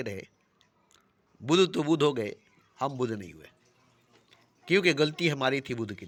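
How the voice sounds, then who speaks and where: A man talks in a medium pitch, varying it in an ordinary way. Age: 60s. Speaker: self-styled spiritual teacher. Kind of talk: spiritual discourse.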